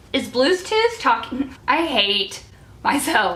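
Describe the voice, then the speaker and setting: Her pitch swings very widely as a woman speaks. Noticeable background noise runs underneath. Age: 20s. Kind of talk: casual talk to camera.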